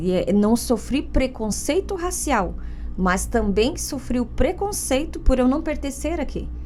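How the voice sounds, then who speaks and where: Speaking at a fairly slow pace, the voice carries a Paraná accent. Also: woman. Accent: Paraná interior. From interior of Paraná, Brazil. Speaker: lawyer and podcast host. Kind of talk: podcast interview.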